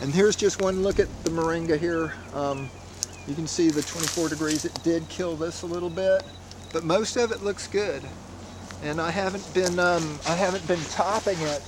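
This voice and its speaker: Against noticeable background noise, a man with a high pitch speaks at a moderate pace with fairly even intonation. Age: 60s. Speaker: fruit grower. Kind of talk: casual walkthrough tutorial. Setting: outdoors. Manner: halting, many fillers.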